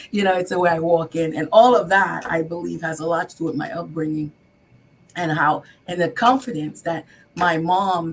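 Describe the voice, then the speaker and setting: A woman speaks at a fairly quick pace in a fairly low pitch, somewhat breathy, with ordinary pitch variation. She has a slight non-native accent. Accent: foreign accent, slight. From Haiti, then New York from age eight. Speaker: business owner, contractor. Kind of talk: talk show interview. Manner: hesitant, many fillers and repeats.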